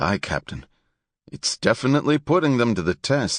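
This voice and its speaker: In a put-on character voice, a raspy man of medium pitch swings his pitch very widely at a moderate pace, recorded dry and close with no echo over a quiet background. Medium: read story.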